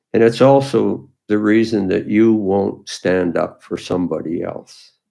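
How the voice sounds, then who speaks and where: In a Canadian accent, a man talks with a fairly low pitch, a dark, mellow tone and ordinary pitch variation. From Canada, Ontario. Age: 80s+. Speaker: retired police officer. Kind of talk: personal testimony monologue. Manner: hesitant, many fillers.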